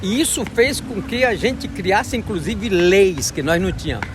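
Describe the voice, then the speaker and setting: Noticeable background noise sits behind a man with a high voice. He talks at a moderate pace with lively intonation. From Acre, Brazil. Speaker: rubber tapper and forest defender. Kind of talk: interview answer.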